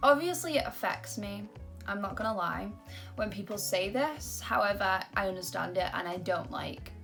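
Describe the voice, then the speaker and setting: A woman talks at a moderate pace. Music sounds in the background. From Britain. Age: young. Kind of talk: casual talk to camera.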